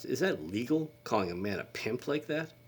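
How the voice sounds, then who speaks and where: A man's put-on character voice at medium pitch, swinging very widely in pitch, at a moderate pace. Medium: read story.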